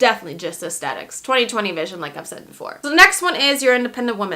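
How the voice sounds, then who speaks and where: A woman speaks with an American accent and a bright, sharp tone. Her pitch swings very widely. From born in Lithuania, grew up in the United States. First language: Lithuanian. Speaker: makeup artist and beauty YouTuber. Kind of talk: casual vlog, reacting to viewer assumptions.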